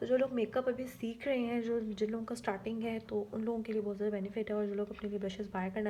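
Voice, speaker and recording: Her voice sits at a medium pitch. The woman's intonation is flat and monotone. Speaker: beauty vlogger. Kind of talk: makeup tutorial. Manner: soft-spoken, quiet so baby won't wake.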